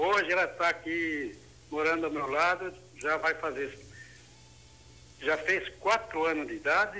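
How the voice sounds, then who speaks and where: A man with a high voice and a bright, sharp tone speaks at a fairly slow pace. His pitch varies in an ordinary way, broken by long, frequent pauses. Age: 60s. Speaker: caller. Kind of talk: testimony.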